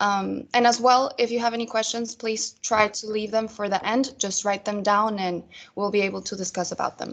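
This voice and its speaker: Monotone and flat, a woman's fairly high voice keeps its intonation level. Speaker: retail sales trainer. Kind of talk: online training presentation. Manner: fast.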